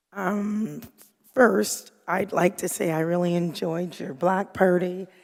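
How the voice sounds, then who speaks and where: At a fairly slow pace, a woman talks at medium pitch with fairly even intonation. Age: 60s. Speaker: city commissioner. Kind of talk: public meeting remarks. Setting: city commission meeting. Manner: halting, many fillers.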